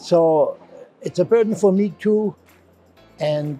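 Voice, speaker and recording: Music plays behind a man speaking very slowly with a German accent. His intonation is lively. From Germany. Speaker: novelist and physician. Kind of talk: interview answer. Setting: book fair.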